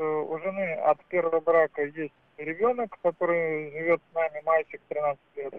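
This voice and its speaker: A man has a normal speaking voice at a fairly high pitch. He talks at a fairly slow pace with fairly even intonation. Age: 40s. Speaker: caller. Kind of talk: phone-in call.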